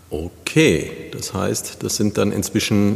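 A man speaks very slowly while noticeable noise runs in the background. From Neuwied, Rhineland, Germany. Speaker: podcast host. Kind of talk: interview.

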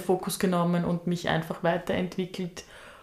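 The woman has a fairly low pitch and a fairly slow pace. Her intonation is monotone and flat. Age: 20s. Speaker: spiritual podcast co-host. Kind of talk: personal storytelling.

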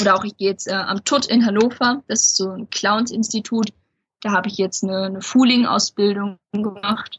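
A somewhat breathy voice at a moderate pace. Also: woman. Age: young. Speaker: magician. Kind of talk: interview. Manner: hesitant, many filler sounds.

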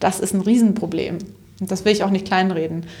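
This woman's tone is dark and mellow, a bit breathy, with ordinary pitch variation. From Upper Franconia, northern Bavaria. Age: 30s. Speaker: social entrepreneur, company co-founder. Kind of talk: interview.

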